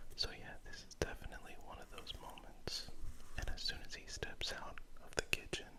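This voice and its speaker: Over noticeable background noise, the words are whispered at a moderate pace. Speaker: artist and ASMR content creator. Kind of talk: casual talk to camera while drawing, ASMR-style narration. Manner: soft-spoken, whispered, conversational.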